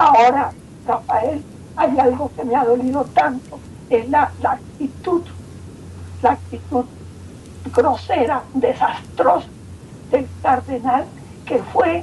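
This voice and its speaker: Her pitch high and her intonation lively, a woman speaks at a very slow pace. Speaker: victim of armed conflict, singer. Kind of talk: phone interview testimony.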